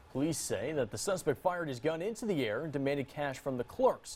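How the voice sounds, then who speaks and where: A man's fairly high-pitched, plain, everyday voice, with lively intonation and a fairly quick pace. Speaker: TV news anchor. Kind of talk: TV news read. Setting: studio.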